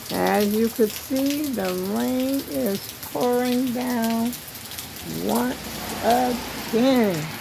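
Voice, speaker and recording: A woman at a very slow pace, over noticeable background noise. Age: old. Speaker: elderly vlogger. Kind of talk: casual talk to camera. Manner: chatty, folksy.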